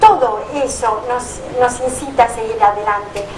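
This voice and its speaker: A woman's high-pitched voice comes through clear background noise. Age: 60s. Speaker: nurse. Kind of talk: testimony.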